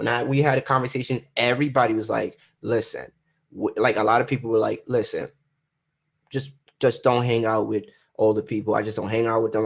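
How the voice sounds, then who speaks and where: Vocal fry marks this very fast speech, which has ordinary pitch variation and a quiet background. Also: man. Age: 20s. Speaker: podcast co-host. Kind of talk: casual chat. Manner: halting.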